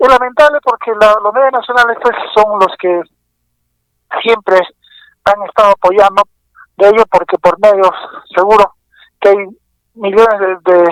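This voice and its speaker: Recorded dry and close with no echo, a man with a high pitch speaks at a moderate pace, leaving long, frequent pauses, his intonation fairly even and his loudness very even. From Peru, Pasco region. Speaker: economist and journalist. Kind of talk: radio interview. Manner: halting, many repetitions and fillers.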